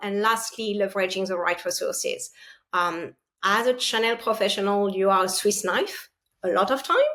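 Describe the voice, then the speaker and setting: With a French accent, a woman speaks at a moderate pace and medium pitch on a very clean recording with a silent background. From France. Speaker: partner sales leader. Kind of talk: interview.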